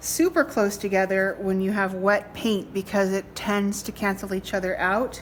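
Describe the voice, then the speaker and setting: A woman speaks at a moderate pace in a normal speaking voice with medium pitch. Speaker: art teacher. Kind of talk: tutorial.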